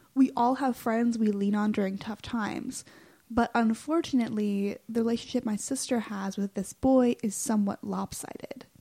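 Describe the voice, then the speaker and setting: Her voice is somewhat breathy and dark, mellow in tone, fairly high-pitched, with fairly even intonation at a moderate pace. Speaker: student podcast co-host. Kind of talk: scripted narration.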